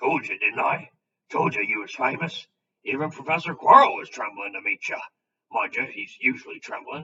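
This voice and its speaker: Using a put-on character voice, a man speaks at a moderate pace in a raised, projected, raspy voice. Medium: read story. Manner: rough, homely, hearty.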